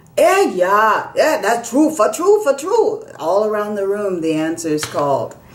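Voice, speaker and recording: Someone with an American accent talks at a fairly slow pace, barely pausing, over noticeable background noise. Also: woman. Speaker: storyteller. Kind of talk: storytelling performance.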